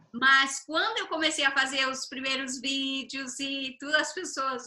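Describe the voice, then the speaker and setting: A woman with a high pitch uses a raised, projected voice over noticeable background noise. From Brazil. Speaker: interview host. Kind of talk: video call interview.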